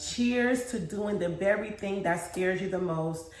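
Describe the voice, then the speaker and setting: Over noticeable background noise and audible room echo, a woman talks in an animated tone at a fairly slow pace. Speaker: lifestyle vlogger and mom. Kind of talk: casual vlog talk to camera.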